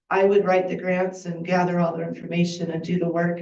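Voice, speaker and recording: A woman speaks with a fairly low pitch and a dark, mellow tone. Audible room echo surrounds her voice. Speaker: volunteer bookkeeper for a heritage group. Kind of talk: public comment at council meeting. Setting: city council meeting.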